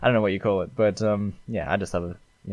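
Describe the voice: With fairly even intonation, the text comes across as plain reading aloud.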